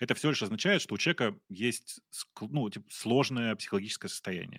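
No echo at all, just a dry, close sound. Everything is very clean, and behind it lies total silence. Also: man. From Russia. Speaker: podcast co-host. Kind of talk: casual chat. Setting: livestream.

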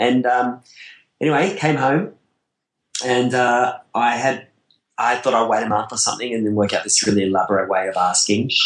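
A man with an Australian accent, at a moderate pace with fairly even intonation. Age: 40s. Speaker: wedding photographer. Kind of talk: casual interview chat. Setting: video call.

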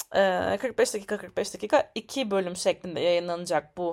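The recording is very clean, with nothing in the background. A woman's intonation is lively as she speaks fairly slowly. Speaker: podcast host. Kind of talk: podcast intro monologue.

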